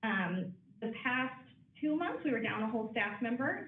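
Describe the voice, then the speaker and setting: A woman with an American accent and fairly high pitch, amid audible room echo and noticeable background noise. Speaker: branch manager of a library. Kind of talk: board meeting report. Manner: fast.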